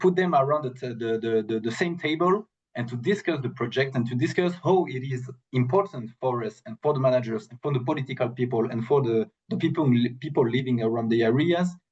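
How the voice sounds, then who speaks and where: A somewhat breathy man speaks at a fairly quick pace with a French accent. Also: medium pitch for a man, ordinary pitch variation. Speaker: protected area specialist. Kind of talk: webinar Q&A answer. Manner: halting, many fillers and repetitions.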